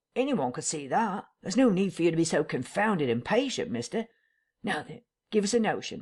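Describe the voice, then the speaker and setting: A put-on character voice rumbles along at a fairly quick pace and middle pitch in a very clean recording with a silent background. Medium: read story. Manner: rough, colloquial, grumbling.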